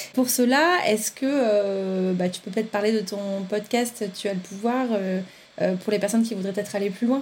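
Speaking at a moderate pace, a woman has an unremarkable speaking voice. Her pitch is fairly high, with ordinary pitch variation. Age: 30s. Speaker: podcast host. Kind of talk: interview.

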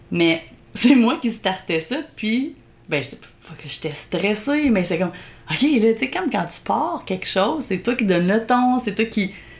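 A somewhat breathy woman speaks fairly slowly at a fairly high pitch in a playful tone, with very wide pitch swings and big swings in loudness. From Quebec, Belle-Chasse area. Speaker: podcast host. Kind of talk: casual chat, playful banter. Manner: playful, laughs often.

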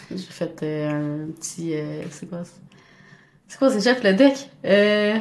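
A woman with a Quebec accent at medium pitch, a very slow pace, long, frequent pauses, lively intonation and big swings in loudness. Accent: Québécois French. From Montreal, Quebec. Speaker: new nurse. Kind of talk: casual interview.

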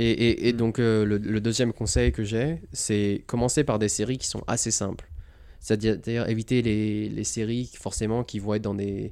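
A man with a dark, mellow tone and fairly low pitch talks at a moderate pace with fairly even intonation. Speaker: retail buying and planning professional at an electric vehicle company. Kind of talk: casual interview chat. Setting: at home in Los Angeles. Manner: casual, filler words, mixes English.

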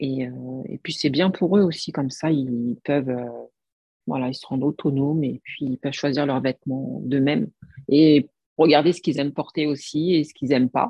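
Pausing long and often, a woman with a very deep, low pitch speaks at a moderate pace with ordinary pitch variation and big swings in loudness. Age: 40s. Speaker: image consultant. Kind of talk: casual chat. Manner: halting.

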